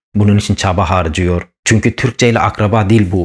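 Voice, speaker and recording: The voice is somewhat breathy and moves at a moderate pace. The recording is very clean, with a silent background. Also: man. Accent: Kurdish. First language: Kurdish (speaking Turkish). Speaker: YouTuber on Kurdish language and history. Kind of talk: educational monologue. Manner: animated.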